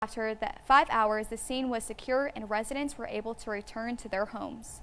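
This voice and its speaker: Fairly quick and fairly even in intonation, a woman's fairly high voice has a bright, sharp tone. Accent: American. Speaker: TV reporter and anchor. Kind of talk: local TV news reporter voiceover. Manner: polished, broadcast delivery.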